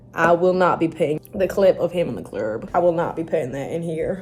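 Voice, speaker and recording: Noticeable background noise surrounds a woman speaking with an American accent at a moderate pace. Her fairly low voice has an animated tone. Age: young. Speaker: student vlogger. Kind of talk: casual vlog chat. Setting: university study room.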